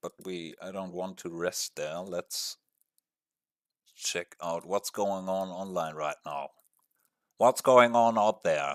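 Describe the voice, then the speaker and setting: A man with a non-native accent in a very clean recording with a silent background. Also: dry, close sound with no echo. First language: not English. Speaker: gaming streamer. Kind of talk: casual live-stream chat. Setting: live stream with webcam. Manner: hesitant, many fillers.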